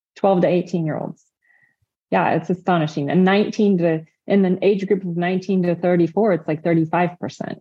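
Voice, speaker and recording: A woman with an American accent and an ordinary speaking voice, fairly low in pitch, fairly slow, with fairly even intonation. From Indiana, US Midwest. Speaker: registered dietitian. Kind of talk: interview conversation.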